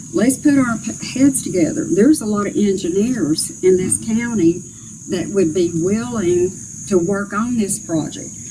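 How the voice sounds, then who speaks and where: Over noticeable background noise, a woman with a north Georgia accent speaks at medium pitch with lively intonation. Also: fairly slow pace. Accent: Southern US (north Georgia). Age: 60s. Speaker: political candidate. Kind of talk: interview.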